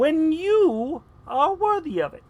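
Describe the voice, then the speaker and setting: Someone puts on a character voice at a high pitch. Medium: read story. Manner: sly, scornful.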